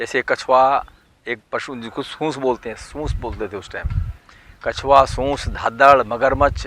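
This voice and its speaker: A man talks at a medium pitch in a monotone, flat delivery. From western Uttar Pradesh, Ghaziabad village. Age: 70s. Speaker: local villager. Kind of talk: street interview.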